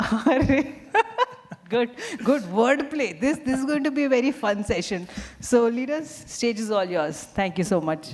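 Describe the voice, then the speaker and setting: With music absent but noticeable background noise and audible room echo, a woman with a fairly high pitch speaks at a fairly slow pace using very wide pitch swings. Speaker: event emcee. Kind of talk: event hosting. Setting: stage with audience. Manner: loud; animated.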